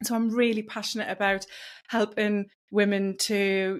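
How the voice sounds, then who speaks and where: In a very clean recording with a silent background, a woman with a northeast England accent speaks at a fairly slow pace, her medium pitch flat and monotone. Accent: British, northeast England. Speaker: wellness coach. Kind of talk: podcast interview.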